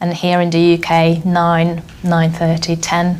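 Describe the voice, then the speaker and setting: A fairly low-pitched woman's voice comes through noticeable background noise. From Hungary, southeastern. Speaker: software tester, former teacher. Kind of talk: interview.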